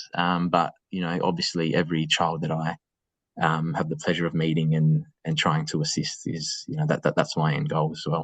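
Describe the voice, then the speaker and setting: A man speaks with an Australian accent in a very deep, low voice. His intonation is monotone and flat. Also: moderate pace. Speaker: school assistant principal. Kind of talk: webinar interview. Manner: halting.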